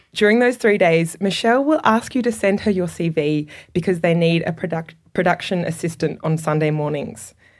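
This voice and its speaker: In a very clean recording with a silent background, a woman with an Australian accent and a fairly low pitch speaks at a moderate pace with ordinary pitch variation. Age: 30s. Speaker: radio documentary producer. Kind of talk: reading a letter aloud to an audience. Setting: stage with audience.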